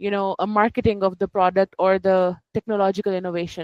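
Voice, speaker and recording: In a dry, close sound with no echo, a woman talks fairly quickly in a flat monotone. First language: not English. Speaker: book club participant. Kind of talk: casual discussion. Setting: video call. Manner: halting.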